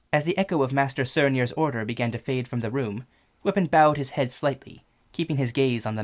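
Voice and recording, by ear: Natural-voiced reading aloud with ordinary pitch variation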